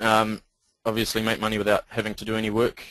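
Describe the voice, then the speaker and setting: Speaking fairly quickly, a man with a New Zealand accent has a fairly low pitch. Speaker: internet marketer. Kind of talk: sales pitch. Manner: hesitant, many ums.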